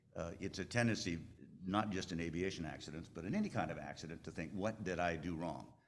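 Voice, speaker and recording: A man's very deep, low pitch with lively intonation and audible room echo. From Alaska. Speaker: aviation lawyer. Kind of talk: conference talk. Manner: conversational, halting.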